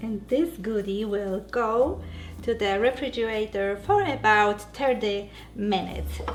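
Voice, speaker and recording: With music in the background, a woman speaks in a Polish accent at a fairly slow pace, her fairly high pitch showing ordinary variation. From Poland. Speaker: keto cooking channel host and diet coach. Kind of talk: cooking tutorial. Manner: hesitant, many fillers.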